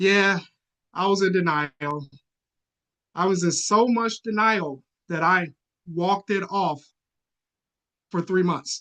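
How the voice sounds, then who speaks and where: The voice is raised and projected, with a bright, sharp tone. It moves at a very slow pace with long, frequent pauses, recorded with a dry, close sound and no echo. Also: man, high pitch for a man, ordinary pitch variation. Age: 40s. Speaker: public speaking club member. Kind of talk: prepared speech. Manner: animated.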